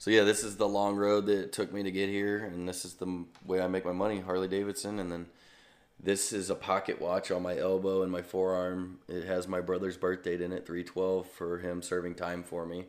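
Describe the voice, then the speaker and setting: A man's very deep, low voice at a fairly quick pace, with monotone, flat intonation and an American accent. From US Midwest, St. Louis, Missouri. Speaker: stunt motorcycle rider. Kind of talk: casual interview. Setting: video call.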